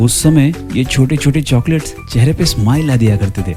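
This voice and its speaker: A man speaks while music plays in the background. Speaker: voice-over artist and radio jockey. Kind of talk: nostalgic storytelling narration to camera. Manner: warm, conversational, nostalgic.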